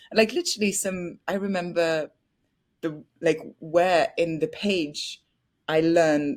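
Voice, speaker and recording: A woman with a French accent speaks at a fairly low pitch. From France (Paris). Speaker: actress. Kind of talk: interview. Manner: bubbly.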